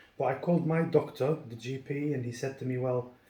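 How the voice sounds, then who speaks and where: Somewhat breathy and dark, mellow in tone, a man talks at a moderate pace with fairly even intonation. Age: 40s. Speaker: builder, patient giving testimony. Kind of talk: testimony. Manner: halting, many fillers.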